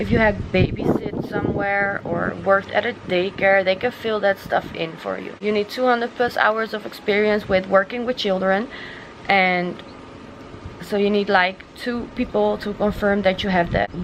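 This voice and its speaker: Over noticeable background noise, a woman with a Dutch accent speaks at medium pitch and a moderate pace with fairly even intonation. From Netherlands. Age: 20s. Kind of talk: casual talk to camera. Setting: outdoors.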